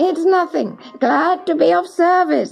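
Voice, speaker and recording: Faint music plays behind a woman using a put-on character voice. She speaks at a fairly slow pace. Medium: read story. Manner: sly, teasing.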